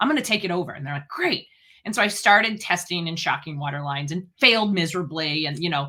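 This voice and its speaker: A loud woman talks at a very fast pace with a fairly low pitch and a bright, sharp tone. Her pitch varies in an ordinary way on a very clean recording with a silent background. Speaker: dental hygienist and speaker. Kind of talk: interview.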